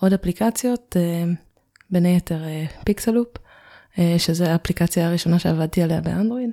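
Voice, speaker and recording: A woman's fairly low voice, dark and mellow in tone, comes through a very clean, dry and close recording with no echo and a silent background. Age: 20s. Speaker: Android developer. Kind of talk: podcast interview.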